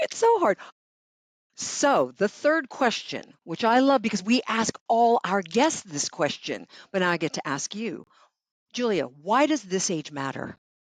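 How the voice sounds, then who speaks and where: A woman's fairly high voice with vocal fry, very wide pitch swings and a fairly slow pace, dry and close with no echo. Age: 60s. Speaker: podcast co-host. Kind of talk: casual chat.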